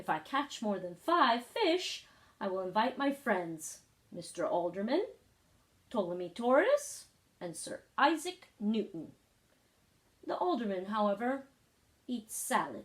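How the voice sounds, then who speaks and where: A woman's put-on character voice, fairly high pitched, at a fairly slow pace with long, frequent pauses. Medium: read story. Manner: prim, proper speech.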